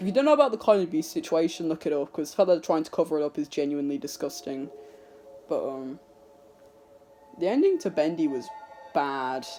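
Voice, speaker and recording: The speech comes at a very fast pace, broken by long, frequent pauses. Music plays in the background. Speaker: youtuber. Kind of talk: casual vlog monologue. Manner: halting, unscripted.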